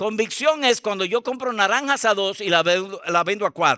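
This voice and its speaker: A raised, projected voice with a bright, sharp tone speaks at a fairly slow pace. The recording is very clean, with a silent background and a dry, close sound with no echo. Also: man. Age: 70s. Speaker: pastor. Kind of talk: sermon.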